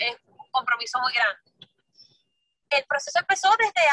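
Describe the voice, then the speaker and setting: Raising and projecting her high voice, a woman speaks at a fairly quick pace with a bright, sharp tone, very wide pitch swings, and a dry, close sound with no echo. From Venezuela, San Cristóbal. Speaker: singer and musical theatre actress. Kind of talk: casual interview.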